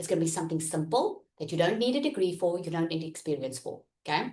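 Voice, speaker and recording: Her pitch swings very widely as the woman talks at a fairly quick pace in an animated tone. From South Africa. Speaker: online business coach. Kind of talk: live online workshop. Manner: loud.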